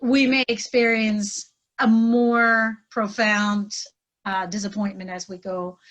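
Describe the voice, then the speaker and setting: Speaking at a very slow pace, a woman with a fairly high pitch keeps her intonation fairly even while her loudness swings widely. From Pennsylvania Dutch community, US. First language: Pennsylvania Dutch. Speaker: trainer and life coach. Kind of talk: podcast interview.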